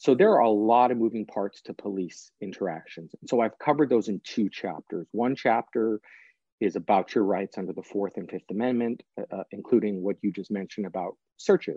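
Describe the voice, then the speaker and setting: This man has an ordinary speaking voice, fairly low in pitch, with ordinary pitch variation. He talks at a fairly quick pace, and his loudness swings a lot. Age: 40s. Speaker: prosecutor and author. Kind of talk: interview.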